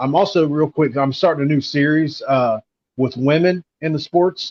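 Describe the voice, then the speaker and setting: A man with an American accent talks at a fairly quick pace in an unremarkable speaking voice, his intonation fairly even. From southern West Virginia, Mingo County. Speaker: sports content creator. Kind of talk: live stream chat.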